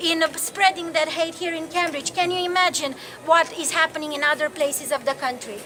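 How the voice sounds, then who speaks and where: In a Romanian accent, a woman speaks at a fairly quick pace with a raised, projected voice at an extremely high pitch. Noticeable background noise is present. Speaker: activist and campaigner. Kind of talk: public speech at a rally. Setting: outdoor demonstration.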